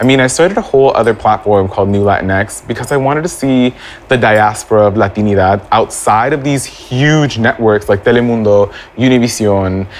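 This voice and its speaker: A man's animated, fairly quick speech at medium pitch, with ordinary pitch variation and noticeable background noise. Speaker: actor and online personality. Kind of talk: casual chat. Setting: live recording at venue.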